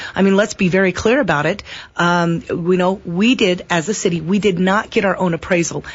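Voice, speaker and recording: A woman talks fairly quickly in a somewhat breathy voice. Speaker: city council candidate. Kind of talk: radio interview. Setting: radio studio. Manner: fast.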